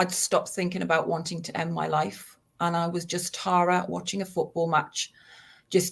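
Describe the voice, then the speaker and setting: A somewhat breathy woman with a slight Geordie accent is heard on a very clean recording with a silent background. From northern England, Newcastle. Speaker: suicide prevention charity founder. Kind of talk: personal testimony.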